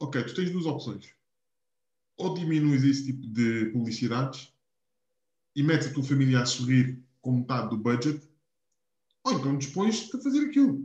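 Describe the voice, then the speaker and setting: A man talks with lively intonation and a somewhat breathy voice. He leaves long, frequent pauses. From Portugal, Algarve (Quarteira). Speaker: podcast co-host. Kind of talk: casual chat.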